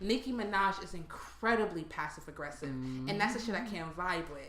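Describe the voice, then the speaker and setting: A woman talks at a fairly quick pace, her loudness swinging widely. Noticeable background noise sits under her voice. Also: medium pitch for a woman. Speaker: podcast co-host. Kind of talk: casual chat. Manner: projects to sound normal; animated.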